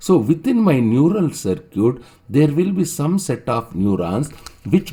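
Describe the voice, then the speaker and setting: With a South Indian accent, a man speaks in a dark, mellow tone with vocal fry and very wide pitch swings. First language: Telugu. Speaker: online teacher. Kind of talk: lecture. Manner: halting, with many fillers and repetitions.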